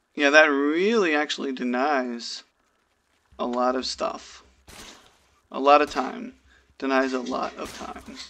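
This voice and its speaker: The voice is quiet and moves at a fairly slow pace. Long pauses come often. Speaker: esports caster. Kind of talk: live commentary.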